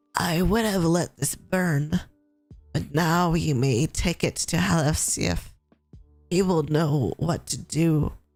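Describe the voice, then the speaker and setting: Over faint background music, a raspy put-on character voice at middle pitch moves along at a fairly slow pace. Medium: virtual streamer.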